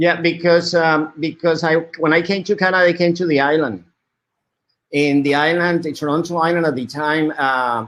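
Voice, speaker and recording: In a very clean recording with a silent background, a man with a Spanish accent speaks at a moderate pace in a fairly high pitch. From Colombia. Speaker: media artist. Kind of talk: interview. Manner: halting, many repetitions.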